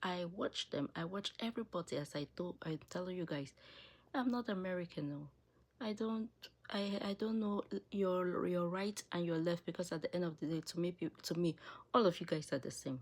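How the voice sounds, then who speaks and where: A woman talks with an African accent. Her pitch sits fairly low. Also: ordinary pitch variation, moderate pace. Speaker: political commentary video creator. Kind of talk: opinion monologue. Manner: animated.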